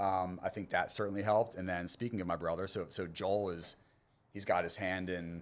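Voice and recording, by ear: This man has an American accent and a low pitch. He talks at a moderate pace with fairly even intonation.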